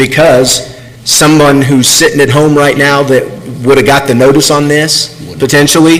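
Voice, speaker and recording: Over noticeable background noise and audible room echo, a man speaks at a moderate pace with monotone, flat intonation. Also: fairly high pitch for a man, very even loudness. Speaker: city staff advising on legal process. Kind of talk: public meeting discussion. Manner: speaking loudly.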